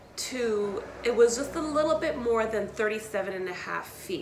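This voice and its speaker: The speech moves at a fairly slow pace with ordinary pitch variation. Light background noise and audible room echo are present. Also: woman. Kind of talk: tutorial. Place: garage. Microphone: camera far.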